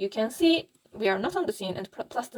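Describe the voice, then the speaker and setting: A woman with a non-native accent, fairly high in pitch, with very wide pitch swings. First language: not English. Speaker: Blender 3D tutorial youtuber. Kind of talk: tutorial. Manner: halting, many fillers.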